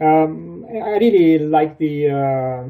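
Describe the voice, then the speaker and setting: A man with a Romanian accent has a fairly high voice and a dark, mellow tone. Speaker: sci-fi and fantasy author. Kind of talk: interview. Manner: halting.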